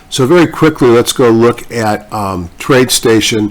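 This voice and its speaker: A man's plain, everyday voice at a medium pitch with lively intonation. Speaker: stock market commentator. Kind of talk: market analysis video commentary. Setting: distorted microphone audio. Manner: casual, conversational.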